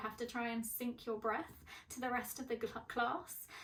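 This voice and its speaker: At a moderate pace, a woman with an English accent speaks at a high pitch. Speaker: mental health vlogger. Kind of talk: personal vlog. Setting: bedroom at parents' home.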